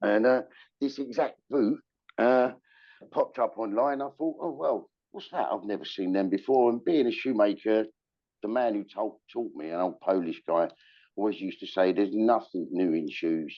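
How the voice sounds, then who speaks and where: A man speaks with a London accent at a medium pitch. His intonation is lively. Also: moderate pace. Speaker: shoemaker and shoe retailer. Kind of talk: interview storytelling. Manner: hesitant with fillers.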